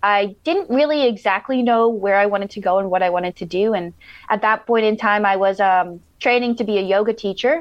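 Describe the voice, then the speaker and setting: With an ordinary speaking voice, a woman with a fairly high pitch talks at a moderate pace with hardly any pauses and ordinary pitch variation. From southern Minnesota, US. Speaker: yoga teacher and life coach. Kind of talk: casual interview. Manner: filler-heavy.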